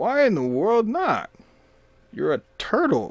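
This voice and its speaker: Putting on a croaky character voice, a man speaks at a high pitch and a fairly slow pace. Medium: read story.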